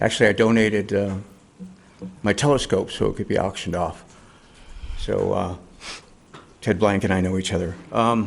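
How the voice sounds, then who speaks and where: At a moderate pace, a man with a fairly low pitch talks with long, frequent pauses. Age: 60s. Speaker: public commenter at council meeting. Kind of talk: public comment. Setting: town council chamber. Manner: halting.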